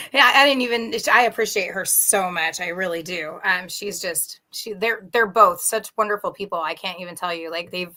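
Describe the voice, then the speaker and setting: A woman's unremarkable speaking voice, medium in pitch with ordinary pitch variation, at a moderate pace with hardly any pauses and big swings in loudness. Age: 40s. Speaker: musician. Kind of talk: interview.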